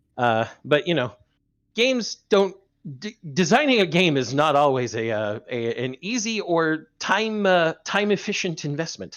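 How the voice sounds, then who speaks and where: A man's high voice in an American accent, fairly slow, with very wide pitch swings. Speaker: game designer. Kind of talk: casual chat. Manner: puts on Scottish accent at times.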